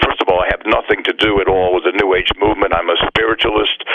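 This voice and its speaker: The speaker talks at a very fast pace in an American accent. Noticeable background noise can be heard. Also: man. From US, Virginia Beach. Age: 70s. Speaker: psychic medium. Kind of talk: radio interview.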